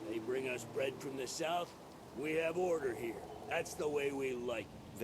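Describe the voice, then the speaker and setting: A man's put-on character voice at a fairly high pitch and moderate pace, over loud background noise. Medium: video game.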